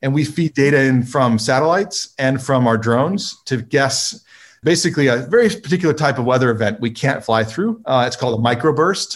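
A man with a normal speaking voice and medium pitch talks fairly quickly with lively intonation and hardly any pauses, on a very clean recording with a silent background. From California. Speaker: drone company co-founder and engineer. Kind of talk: casual interview.

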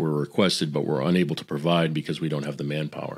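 Monotone, flat intonation from a man with an American accent, on a very clean recording with a silent background. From Boston area, US. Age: 50s. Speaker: business executive and former sound engineer. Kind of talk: interview conversation.

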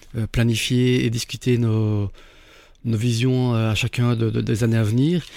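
The recording is very clean, with a silent background. A man talks in a monotone, flat way at medium pitch. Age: 50s. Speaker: entrepreneur turned candle maker. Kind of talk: interview. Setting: studio. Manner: hesitant, frequent repetitions.

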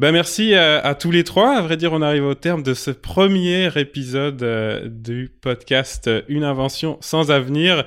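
Speaking at a fairly slow pace with a slight Quebec accent, the voice shows ordinary pitch variation. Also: man, fairly high pitch for a man. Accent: slight Quebec tinge on French. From Lille, northern France. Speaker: podcast host. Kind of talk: casual chat. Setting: remote recording.

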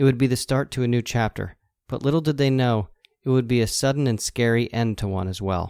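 In a very clean recording with a silent background, a man with an American accent uses a plain, everyday voice at a medium pitch, speaking at a fairly quick pace with ordinary pitch variation. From New Jersey. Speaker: podcast host. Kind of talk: scripted narration.

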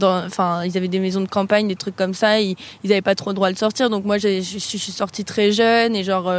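A woman's medium-pitched voice, fairly quick and flat in a monotone. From France, Avignon. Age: 20s. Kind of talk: casual chat.

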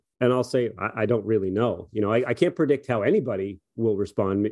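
Over a quiet background, a man with an ordinary speaking voice talks at a moderate pace and medium pitch with ordinary pitch variation. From Prince Edward Island, Canada. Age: 40s. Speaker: sports biomechanics professor and training-aid co-founder. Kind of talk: podcast interview.

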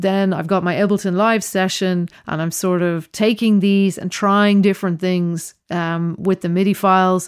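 A woman with a Dublin accent speaks in a monotone, flat intonation at a medium pitch. The recording is very clean with a silent background. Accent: Irish (Dublin). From Ireland, Dublin. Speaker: composer. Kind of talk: interview.

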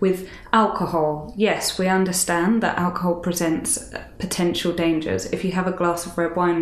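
Monotone and flat, a woman with a British accent speaks fairly low at a moderate pace, with audible room echo and noticeable background noise. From UK. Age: 30s. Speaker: author and fashion writer. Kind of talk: casual interview.

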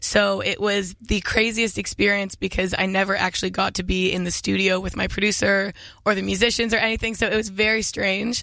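A woman at medium pitch talks at a moderate pace in a flat monotone with a bright, sharp tone, on a very clean recording with a silent background. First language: English (speaking French). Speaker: singer-songwriter. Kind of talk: interview. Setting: studio.

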